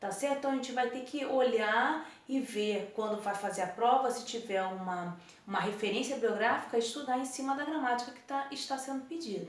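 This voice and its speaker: The speech flows with hardly any pauses and ordinary pitch variation. Noticeable background noise and audible room echo are present. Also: woman, high pitch for a woman, moderate pace. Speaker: school teacher. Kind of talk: recorded lesson. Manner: casual, informal.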